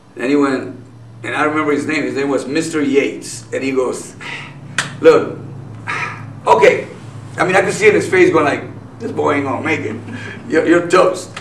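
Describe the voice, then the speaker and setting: A man speaks at a moderate pace, leaving long, frequent pauses. The room echo is audible and the background noise noticeable. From Nogales, Mexico. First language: Spanish. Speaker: businessman and activist. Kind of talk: interview.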